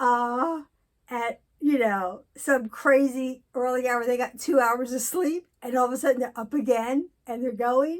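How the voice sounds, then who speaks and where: A woman's high voice at a fairly slow pace, with ordinary pitch variation, on a very clean recording with a silent background. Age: 60s. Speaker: vlogger sharing personal mental health experience. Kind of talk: personal vlog monologue. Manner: halting, many fillers.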